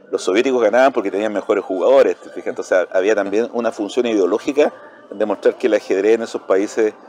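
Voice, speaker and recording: Delivered at a very fast pace, the speech shows big swings in loudness over noticeable background noise. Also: man. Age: 60s. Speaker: chess player and university lecturer. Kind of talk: casual interview chat.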